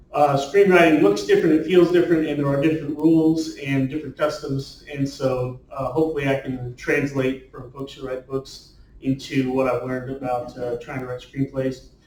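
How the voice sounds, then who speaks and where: Over noticeable background noise, a man with a fairly high pitch speaks at a moderate pace with hardly any pauses, fairly even intonation and big swings in loudness. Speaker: screenwriter and novelist. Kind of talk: talk to a writers' group. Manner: rambling with many fillers.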